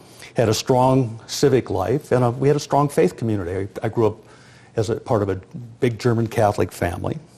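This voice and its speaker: Somewhat breathy and dark, mellow in tone, a man talks at a fairly quick pace. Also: medium pitch for a man, ordinary pitch variation. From US Midwest, rural South Dakota. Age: 60s. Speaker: sociologist and demographer. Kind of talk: lecture.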